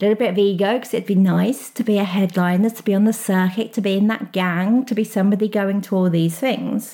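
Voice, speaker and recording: In a very clean recording with a silent background, a woman talks fairly quickly at a medium pitch, her tone dark and mellow and somewhat breathy. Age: 40s. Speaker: life coach. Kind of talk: solo podcast monologue. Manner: animated.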